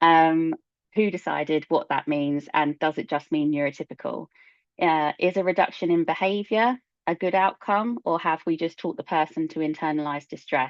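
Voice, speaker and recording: At a moderate pace, a woman uses a plain, everyday voice with a fairly low pitch and ordinary pitch variation. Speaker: ADHD coach and neurodiversity consultant. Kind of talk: presentation.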